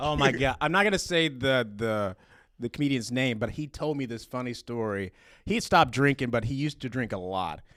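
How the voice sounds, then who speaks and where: Speaking fairly quickly with lively intonation, a man at medium pitch comes through on a very clean recording with a silent background. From US South, eastern Alabama. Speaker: comedian. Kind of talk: casual chat.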